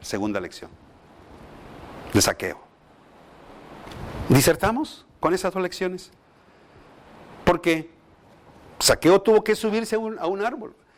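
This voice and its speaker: Using a high pitch with ordinary variation, a man speaks at a fairly slow pace with long, frequent pauses. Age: 60s. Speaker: pastor / bible teacher. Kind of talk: bible study lecture.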